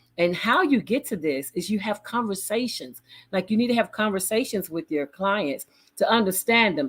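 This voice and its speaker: In a Southern US accent, a woman speaks at a moderate pace with lively intonation. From Chattanooga, Tennessee. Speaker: business consultant and project manager. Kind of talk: live broadcast business talk. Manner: casual, conversational.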